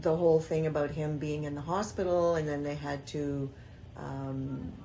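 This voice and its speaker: A woman with a very deep, low pitch and ordinary pitch variation speaks in a dark, mellow tone, with audible room echo around her. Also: moderate pace. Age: 60s. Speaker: grandmother interviewee. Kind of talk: casual interview.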